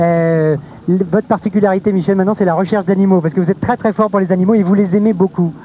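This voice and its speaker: At a very fast pace, a man speaks high-pitched with a dark, mellow tone, fairly even intonation and very even loudness. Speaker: TV presenter. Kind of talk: live TV presentation.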